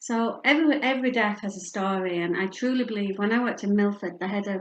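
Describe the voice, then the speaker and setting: With a northern English accent, a woman speaks at a fairly quick pace in a medium pitch with ordinary pitch variation. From northern England, Yorkshire. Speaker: bereavement and palliative care speaker. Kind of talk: public talk.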